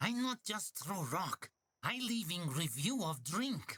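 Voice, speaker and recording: A man does a put-on character voice, pitched high. He speaks at a fairly slow pace. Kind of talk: broken, simple grammar. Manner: deadpan, grumbling.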